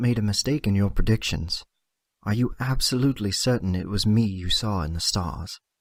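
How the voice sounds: Against a quiet background, a natural reading voice comes through with lively intonation.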